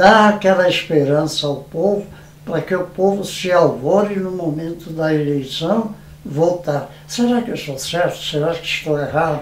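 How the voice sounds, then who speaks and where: A fairly slow voice with ordinary pitch variation, heard over noticeable background noise. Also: man, high pitch for a man. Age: 80s+. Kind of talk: interview answer.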